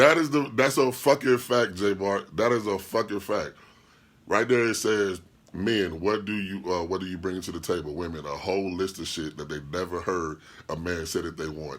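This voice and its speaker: In a very clean recording with a silent background, a man with a very deep, low pitch speaks at a moderate pace with lively intonation. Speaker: podcast host and DJ. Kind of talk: casual livestream chat reading comments. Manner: animated.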